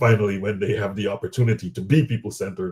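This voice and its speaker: A man's fairly low, somewhat breathy voice at a very fast pace, with ordinary pitch variation. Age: 50s. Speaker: interviewer. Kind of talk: interview. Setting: webinar.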